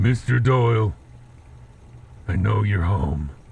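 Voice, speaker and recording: A put-on character voice from a man, fairly low in pitch, fairly slow, with lively intonation and clear background noise. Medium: read story. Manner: terse, blunt.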